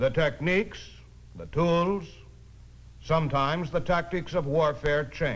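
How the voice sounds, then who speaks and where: With vocal fry and a fairly high pitch, a man speaks at a fairly slow pace, using ordinary pitch variation and long, frequent pauses. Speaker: narrator. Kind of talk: documentary narration. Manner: formal, authoritative.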